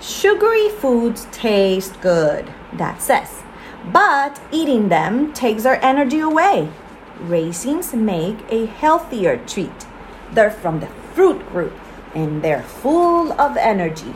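Speaking very slowly in a warm tone, a woman with a fairly high pitch makes very wide pitch swings over noticeable background noise. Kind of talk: children's audiobook read-aloud, storybook narration. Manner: warm, friendly, simple and clear, aimed at young listeners.

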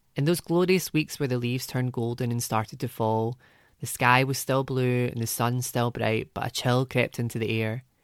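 This man has a Glaswegian accent and a medium pitch. He speaks at a moderate pace with fairly even intonation on a very clean recording with a silent background. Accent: Glaswegian lilt. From Scotland, Glasgow. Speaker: essayist. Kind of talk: personal essay reading.

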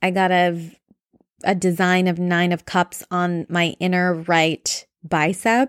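A fairly low-pitched woman's voice, monotone and flat, at a very slow pace in a very clean recording with a silent background. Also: dry, close sound with no echo. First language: Bengali. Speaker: solo podcaster. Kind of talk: casual personal update monologue.

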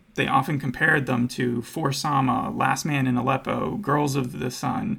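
A man with a medium-pitched voice and vocal fry talks at a moderate pace in an American accent with ordinary pitch variation. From United States. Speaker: podcast host. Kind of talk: casual chat.

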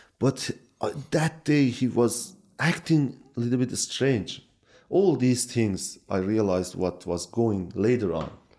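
With a Kurdish accent, a man speaks at a medium pitch in a dark, mellow tone. His intonation is lively and his pace fairly slow. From Iran, Kurdish region. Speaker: Bible translator. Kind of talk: testimony. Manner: halting, frequent fillers.

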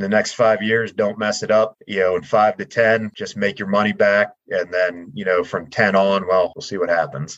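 A man's fairly low-pitched, plain, everyday voice with an American accent, fairly even intonation, a moderate pace and hardly any pauses. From central Pennsylvania. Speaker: startup orchard farmer. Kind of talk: interview.

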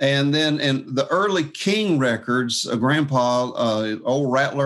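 A man speaks with a Southern US accent at a fairly high pitch. His pitch varies in an ordinary way over a quiet background. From US South, Jacksonville, Florida. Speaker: fingerstyle guitarist. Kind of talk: casual chat.

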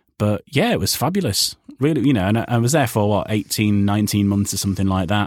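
The sound is dry and close with no echo as a man with a Yorkshire accent speaks at a fairly low pitch. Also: very clean recording, silent background. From Yorkshire, northern England. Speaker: radio presenter and voiceover artist. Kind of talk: casual interview chat. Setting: home voiceover booth.

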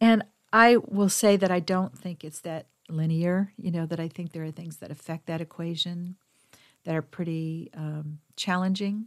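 A woman with a plain, everyday voice talks at a moderate pace in a fairly low pitch, her intonation fairly even and her loudness swinging widely. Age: 60s. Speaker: podcast host and women's mentor. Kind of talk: solo monologue podcast. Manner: gentle, reflective.

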